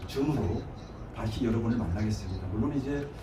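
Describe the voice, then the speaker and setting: Speaking at a fairly quick pace in a Gangwon accent, a man with a medium pitch is heard through audible room echo and noticeable background noise. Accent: Gangwon Korean. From Gangwon Province, South Korea. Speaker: guest lecturer. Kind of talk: lecture. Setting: online lecture, YouTube Live. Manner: halting, many filler words.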